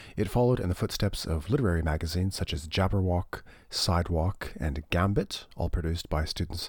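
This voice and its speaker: Speaking at a fairly quick pace, a man uses a very deep, low voice that is somewhat breathy. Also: very clean recording, silent background. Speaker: academic researcher and podcast host. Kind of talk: scripted narration.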